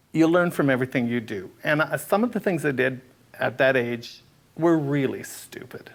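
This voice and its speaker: At a moderate pace, this is a plain, everyday voice. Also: man. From British Columbia, Canada. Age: 60s. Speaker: drag artist. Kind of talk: interview answer, personal storytelling.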